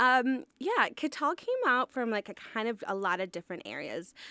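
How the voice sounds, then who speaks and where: A woman with a normal speaking voice talks at a moderate pace with lively intonation, recorded very cleanly with a dry, close sound, no echo and a silent background. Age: 30s. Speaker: food truck owner. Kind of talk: interview.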